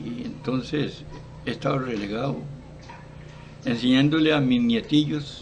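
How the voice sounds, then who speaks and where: A man speaks at a medium pitch and a fairly slow pace. The room echo is audible, and there is noticeable background noise. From Costa Rica, Esparza (Puntarenas). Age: 80s+. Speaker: retired football coach. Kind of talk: interview. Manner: halting, with frequent repetitions.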